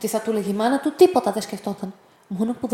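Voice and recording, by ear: With ordinary pitch variation, the passage is read aloud in a natural voice.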